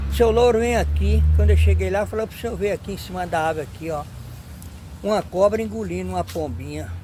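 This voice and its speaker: Speaking fairly quickly, a man delivers his words. There is noticeable background noise throughout. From Bahia, rural Brazil. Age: 70s. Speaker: elderly interviewee. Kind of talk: interview storytelling.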